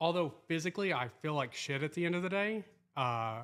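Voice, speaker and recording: A man's fairly high voice at a moderate pace, with ordinary pitch variation, on a very clean recording with a silent background. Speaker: barber and podcast co-host. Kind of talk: casual chat. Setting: barbershop. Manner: loud.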